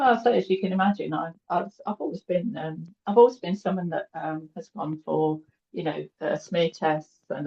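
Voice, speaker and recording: Moderately paced speech from a woman in a British accent, fairly low in pitch, with ordinary pitch variation. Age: 60s. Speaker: cancer survivor interviewee. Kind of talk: interview.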